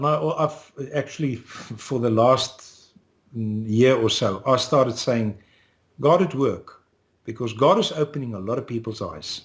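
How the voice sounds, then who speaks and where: Pausing long and often, a man speaks fairly slowly at a medium pitch in a somewhat breathy voice. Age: 60s. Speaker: political activist. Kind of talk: interview.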